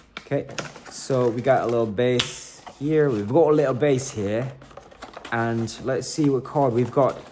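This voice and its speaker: A man at a medium pitch and a fairly slow pace, fairly even in intonation, with noticeable background noise. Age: 30s. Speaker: toy collector YouTuber. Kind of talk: unboxing review. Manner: soft-spoken; casual with many fillers.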